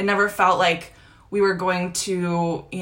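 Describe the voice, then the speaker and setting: A woman's fairly low voice, fairly even in intonation, at a moderate pace, with audible room echo. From United States (born in Croatia, moved at six). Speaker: podcast host and business coach. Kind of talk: live social media training. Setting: Instagram live video.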